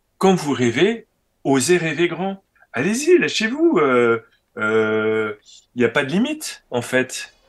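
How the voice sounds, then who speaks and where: The pace is very slow, with long, frequent pauses. Pitch swings are very wide. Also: man. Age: 60s. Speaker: organic farmer and trainer. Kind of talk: interview conversation. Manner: animated.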